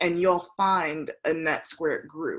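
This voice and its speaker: At a moderate pace, a woman uses an ordinary speaking voice at a fairly low pitch. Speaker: meetup organizer. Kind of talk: online event introduction.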